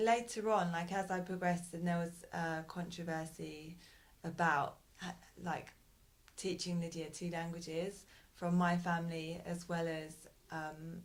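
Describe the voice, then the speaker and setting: A woman's fairly low, flat monotone voice, fairly slow, with audible room echo. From Britain. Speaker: parent. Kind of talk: interview. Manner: hesitant.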